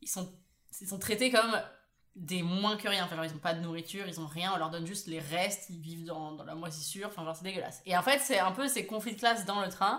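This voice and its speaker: A woman speaks very fast in an animated tone, her loudness swinging widely. Her pitch is medium, with ordinary pitch variation. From Paris, France. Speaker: podcast co-host. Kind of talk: casual chat.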